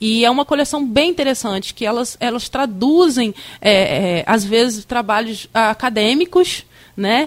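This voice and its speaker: A woman's plain, everyday voice, fairly high in pitch, with lively intonation and a fairly slow pace. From Campos dos Goytacazes, Rio de Janeiro state, Brazil. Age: 30s. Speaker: museum director. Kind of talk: radio interview.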